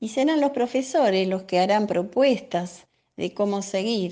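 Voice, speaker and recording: This woman's tone is dark and mellow. She talks fairly slowly. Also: quiet background. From Buenos Aires, Villa Soldati. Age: 70s. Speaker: senior community film workshop member. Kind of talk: interview answers.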